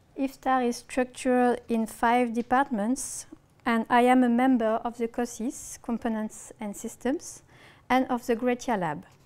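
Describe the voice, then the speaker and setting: A woman with a strong French accent speaks at a fairly slow pace. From France. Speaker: researcher. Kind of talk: lecture. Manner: reading from script.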